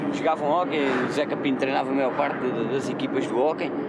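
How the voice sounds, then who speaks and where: Audible room echo surrounds the speech, along with noticeable background noise. The speaker is a man. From Portugal, Torres Vedras. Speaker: local resident interviewee. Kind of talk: casual interview while walking. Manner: casual slangy.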